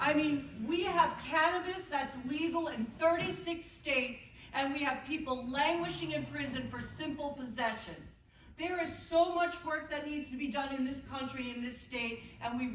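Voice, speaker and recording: A woman speaks with audible room echo around her. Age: 60s. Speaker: political candidate. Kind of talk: heated debate. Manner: impassioned.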